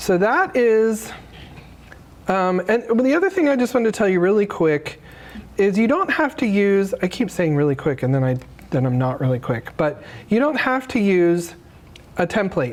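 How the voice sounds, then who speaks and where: A woman with an American accent talks at a moderate pace and medium pitch, her loudness very even, her pitch swinging very widely, with long, frequent pauses. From Arizona (Phoenix). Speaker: graphic designer and presenter. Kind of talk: workshop tutorial. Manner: casual, many fillers.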